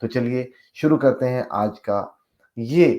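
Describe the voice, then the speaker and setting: Over a quiet background, a man speaks at medium pitch in a dark, mellow tone. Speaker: doctor, health video host. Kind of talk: health talk to camera, Hindi-English mix.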